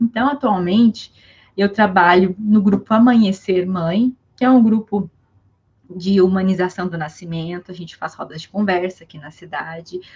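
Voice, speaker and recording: A woman speaks at a moderate pace with a medium pitch, ordinary pitch variation and a somewhat breathy quality. Her loudness swings widely. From southern Brazil (Rio Grande do Sul). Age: 20s. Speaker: psychologist. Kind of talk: casual interview. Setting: online live stream.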